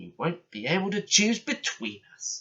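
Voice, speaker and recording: A man speaks at a moderate pace in a put-on character voice pitched high for a man. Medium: read story.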